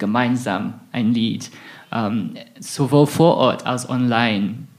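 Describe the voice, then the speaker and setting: Very slowly, a man speaks with an English accent. His pitch varies in an ordinary way. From southern England, Isle of Wight. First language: English (speaking German). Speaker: researcher in music and theology. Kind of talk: interview. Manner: hesitant, many fillers.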